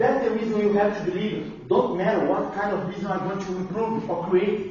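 A man speaks with a Portuguese accent at a moderate pace, his pitch high for a man. Audible room echo and noticeable background noise surround his voice. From Brazil. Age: 50s. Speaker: customer experience consultant. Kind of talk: lecture.

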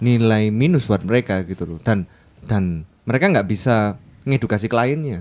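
With a plain, everyday voice, a man talks at a moderate pace in a fairly low pitch, his intonation lively. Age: 20s. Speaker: designer. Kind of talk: casual chat. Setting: studio.

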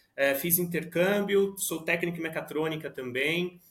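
He speaks at a moderate speed in a fairly high pitch. It is an ordinary speaking voice. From Brazil, Suzano, greater São Paulo. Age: 20s. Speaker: product manager. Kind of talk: casual interview chat.

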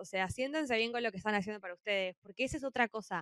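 A woman with a Rioplatense accent, her pitch fairly high and its variation ordinary. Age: 20s. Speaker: podcast co-host, university student. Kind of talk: casual chat.

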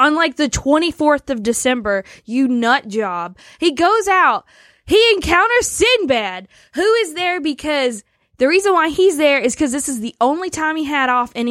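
This woman has an American accent and a high pitch. Her pitch swings very widely. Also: moderate pace. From US South. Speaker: podcast co-host. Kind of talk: casual chat.

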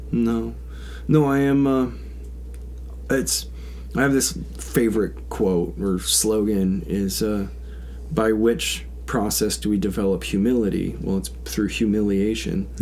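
In a room with audible echo, a man speaks at a fairly slow pace and a fairly low pitch, with very wide pitch swings and long, frequent pauses. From Alaska, Big Lake/Houston area. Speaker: commercial fisherman. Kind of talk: casual chat.

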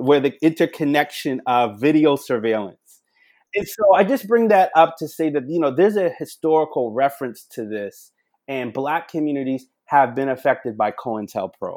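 With an American accent, a man in a normal speaking voice talks at a moderate pace and a fairly high pitch, his intonation lively. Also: very clean recording, silent background. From Charleston, South Carolina. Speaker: national security expert. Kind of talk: podcast interview.

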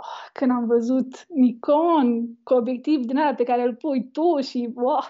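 Hardly pausing, a woman talks at a very slow pace in a high pitch with fairly even intonation. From Romania. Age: 20s. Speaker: wedding photographer. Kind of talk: interview. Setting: live video call.

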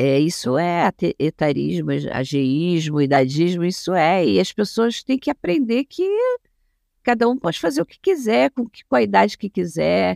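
Fairly low-pitched woman at a fairly slow pace, with very wide pitch swings and big swings in loudness, in a dry, close sound with no echo. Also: very clean recording, silent background. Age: 60s. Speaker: gerontologist and family caregiver. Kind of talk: interview.

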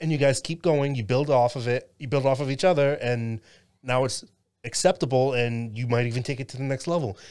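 A man's medium-pitched, unremarkable speaking voice with ordinary pitch variation. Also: fairly quick pace, very clean recording, silent background. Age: 30s. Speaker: podcast host. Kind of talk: casual chat.

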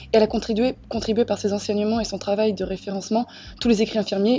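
A woman speaks at a very fast clip in a medium pitch, somewhat breathy. Her intonation stays flat and monotone. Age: 20s. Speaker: nursing student. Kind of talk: casual chat.

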